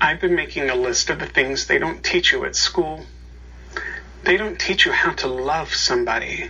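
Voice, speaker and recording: A man keeps a moderate pace as noticeable noise carries on behind him. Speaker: worship leader. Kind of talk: liturgy and reading aloud.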